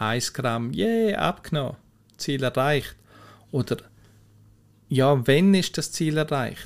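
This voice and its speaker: On a very clean recording with a silent background, a man with a fairly high pitch speaks very slowly in lively intonation, with long, frequent pauses. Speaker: mental coach, podcast host. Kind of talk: solo podcast explainer. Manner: conversational, informal.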